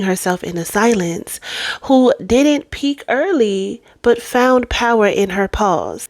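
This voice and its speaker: A woman's normal speaking voice, fairly high in pitch with lively intonation, at a fairly slow pace, dry and close with no echo. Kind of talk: motivational monologue intro.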